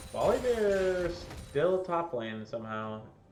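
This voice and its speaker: Lively male speech with audible room echo and music in the background. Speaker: esports caster. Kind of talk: live commentary. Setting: live stream. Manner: animated.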